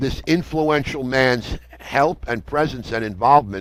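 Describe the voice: Speaking at a fairly slow pace, a man has a fairly bright tone and ordinary pitch variation. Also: medium pitch for a man.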